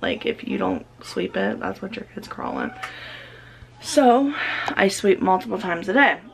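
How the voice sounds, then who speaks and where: A woman talks at a moderate pace with big swings in loudness over light background noise. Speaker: mom vlogger. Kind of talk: casual vlog chat. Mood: candid, relaxed. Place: kitchen. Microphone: phone near.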